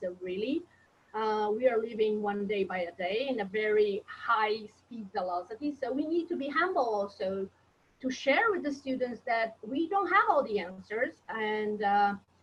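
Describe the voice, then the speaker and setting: A woman speaks at a fairly high pitch with lively intonation. Noticeable background noise sits behind her. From Brazil. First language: Portuguese. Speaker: professor. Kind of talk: webinar panel discussion.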